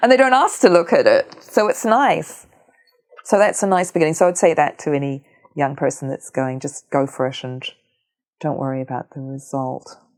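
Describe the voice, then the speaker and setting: A woman's very deep, low voice in a New Zealand accent, with very wide pitch swings, big swings in loudness, and a moderate pace. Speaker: visual artist. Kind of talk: interview conversation. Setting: at her home.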